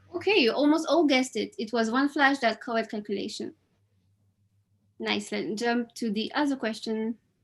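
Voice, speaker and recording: A woman speaks with a French accent at a moderate pace, her pitch high and its variation ordinary. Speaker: quiz host at online event. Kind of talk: live quiz hosting. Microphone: webcam.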